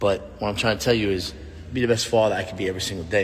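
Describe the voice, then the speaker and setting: Talking at a very fast pace, a man with a fairly low pitch uses ordinary pitch variation over noticeable background noise. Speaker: former pro football player and youth coach. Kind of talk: casual vlog monologue. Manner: loud; animated.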